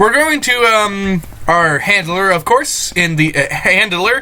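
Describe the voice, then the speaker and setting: A man raises and projects his voice, his pitch swinging very widely over noticeable background noise. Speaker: gaming video creator. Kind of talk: let's play commentary.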